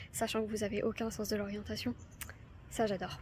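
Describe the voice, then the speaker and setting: A woman races through her words very quickly, her voice somewhat breathy. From France. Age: young. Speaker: lifestyle vlogger. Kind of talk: casual talk to camera.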